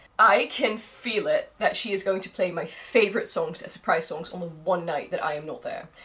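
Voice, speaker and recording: Hardly pausing, a woman speaks at a moderate pace with big swings in loudness over noticeable background noise. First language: Dutch. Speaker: vlogger. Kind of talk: vlog monologue. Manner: animated.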